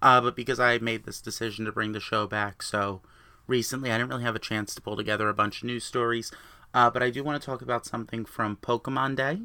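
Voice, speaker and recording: In a very clean recording with a silent background, a bright, sharp voice runs at a very fast pace with fairly even intonation. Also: man. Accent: New Jersey. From New Jersey. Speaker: gaming podcaster. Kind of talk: solo podcast monologue.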